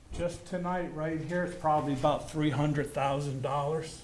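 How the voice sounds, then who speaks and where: A man in an American accent with monotone, flat intonation at a moderate pace, amid audible room echo. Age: 70s. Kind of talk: public comment at council meeting. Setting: city council meeting.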